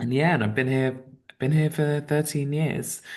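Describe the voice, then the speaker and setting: The voice carries a strong British accent against a quiet background. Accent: British accent, kept strong. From England, Southeast London. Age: 30s. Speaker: writer. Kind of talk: interview.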